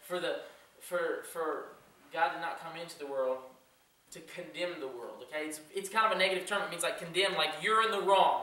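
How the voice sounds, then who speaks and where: A man with a high pitch speaks at a fairly quick pace, with audible room echo and light background noise. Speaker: youth pastor. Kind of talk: sermon. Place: church. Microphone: camera far.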